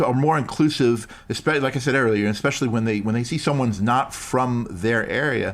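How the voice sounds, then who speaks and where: A man with an American accent and a plain, everyday voice speaks at a medium pitch with ordinary pitch variation. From New York. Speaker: improv performer and coach. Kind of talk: casual interview chat.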